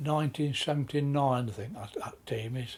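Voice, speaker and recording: Noticeable noise sits in the background as the talking proceeds at a medium speed. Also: man. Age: 70s. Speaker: football club veteran. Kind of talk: interview recollection.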